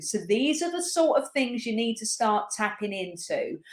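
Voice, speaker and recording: Her tone is animated, as a woman with a fairly high pitch talks with lively intonation. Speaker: spiritual business coach. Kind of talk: live stream coaching talk.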